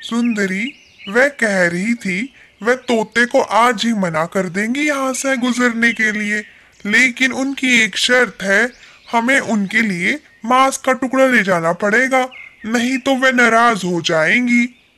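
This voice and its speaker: This cartoonish character voice has a fairly high pitch and a fairly slow pace. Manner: earnest, pleading.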